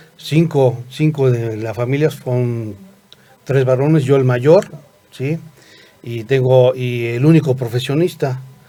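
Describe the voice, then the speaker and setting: A man speaks at a very slow pace, with long, frequent pauses. Noticeable background noise runs under his voice. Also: medium pitch for a man, fairly even intonation. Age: 60s. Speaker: medical school director. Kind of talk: interview. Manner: halting, many fillers.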